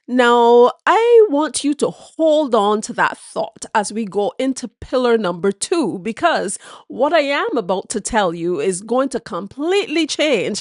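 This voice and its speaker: A woman with a Barbadian accent speaks at a high pitch and a fairly slow pace, her pitch swinging very widely. The sound is dry and close with no echo, over a quiet background. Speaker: history presenter. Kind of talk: educational history talk to camera.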